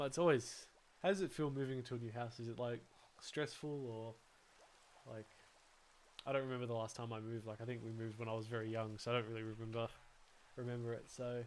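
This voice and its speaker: Speaking in an Australian accent at medium pitch, a man talks at a very fast pace. Long, frequent pauses break up his speech. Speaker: gaming livestreamer. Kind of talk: casual chat while gaming livestream. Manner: animated, halting with many fillers.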